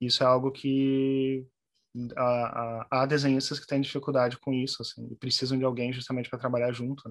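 Over a quiet background, a man talks at a moderate pace. His intonation is flat and monotone. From southern Brazil, Porto Alegre. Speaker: journalist and translator. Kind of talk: interview conversation. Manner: halting, many repetitions.

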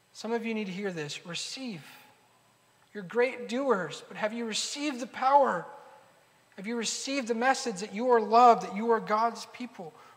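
A man speaks at an extremely high pitch and a moderate pace, his pitch varying in an ordinary way. His loudness swings widely, with audible room echo and noticeable background noise. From United States, Argentine-Peruvian immigrant family. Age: 30s. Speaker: pastor. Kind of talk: sermon.

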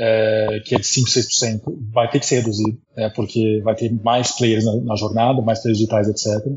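Using an unremarkable speaking voice, a man talks at a moderate pace and medium pitch. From abroad: Taiwan, Turkey, Portugal, Netherlands. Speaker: marketing executive. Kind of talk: interview.

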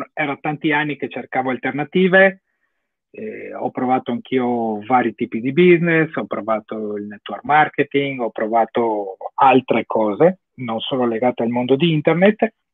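In an unremarkable speaking voice, a man goes along at a middling tempo. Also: medium pitch for a man, lively intonation. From Italy. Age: 30s. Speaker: online course student. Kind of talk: interview on livestream.

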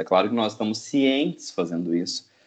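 Lively intonation runs through a man's normal speaking voice. He talks at a moderate pace with a fairly low pitch. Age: 20s. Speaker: podcast co-host, linguistics PhD student. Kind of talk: casual chat.

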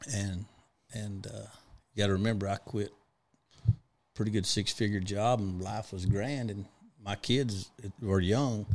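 In a Texas accent, a man with a fairly low pitch speaks with fairly even intonation on a very clean recording with a silent background. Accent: Texas drawl. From West Texas (Big Spring). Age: 40s. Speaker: trucking fleet owner. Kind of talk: casual interview chat. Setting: studio.

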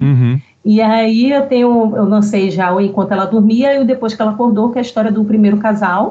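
A woman speaks at a fairly quick pace in a fairly high, somewhat breathy voice, with ordinary pitch variation and very even loudness. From Bahia, Brazil. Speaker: novelist. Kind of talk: casual interview.

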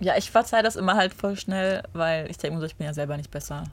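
Her voice is somewhat breathy and fairly low in pitch for a woman. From Germany, Düsseldorf area, Romanian parents. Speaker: reality TV contestant, office worker. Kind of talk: casual interview chat.

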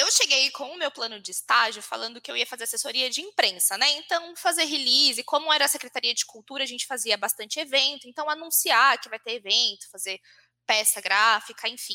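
The raised, projected voice has a bright, sharp tone and big swings in loudness. It runs at a fairly quick pace with hardly any pauses. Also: woman, high pitch for a woman, lively intonation. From Brazil, Santa Isabel (São Paulo state). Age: 20s. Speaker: social media content lead. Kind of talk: casual interview.

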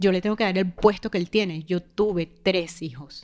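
Moderate pace, fairly even intonation and medium pitch from a woman with an unremarkable speaking voice. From Venezuela. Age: 40s. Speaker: mother sharing near-death experience. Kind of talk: personal testimony.

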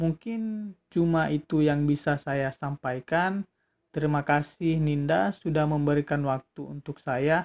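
Recorded dry and close with no echo, a man with an ordinary speaking voice talks fairly slowly at a fairly high pitch. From South Sulawesi, Palopo. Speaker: student organization chairman. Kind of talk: informational talk.

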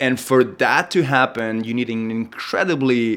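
A man with a Spanish accent, moderate pace and ordinary pitch variation. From Spain, Madrid. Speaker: entrepreneur and filmmaker. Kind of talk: interview. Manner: halting, many fillers and repetitions.

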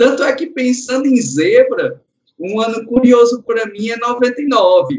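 The man talks at a fairly slow pace. His pitch is extremely high. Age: 40s. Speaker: subscriber guest, motorsport fan. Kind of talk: casual chat.

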